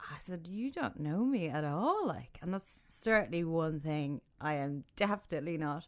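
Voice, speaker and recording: With an Irish accent and lively intonation, a woman with a fairly low pitch talks at a moderate pace with hardly any pauses. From Ireland. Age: 40s. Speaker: freelance digital marketer. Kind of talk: casual chat.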